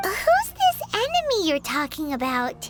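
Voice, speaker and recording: A squeaky, high-pitched put-on character voice at a fairly slow pace, over loud background noise. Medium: video game. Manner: excitable.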